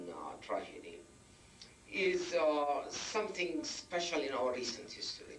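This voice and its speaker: A man speaks fairly slowly while music plays in the background. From Palestine / Israel. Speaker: public speaker on Palestinian affairs. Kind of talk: lecture. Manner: halting.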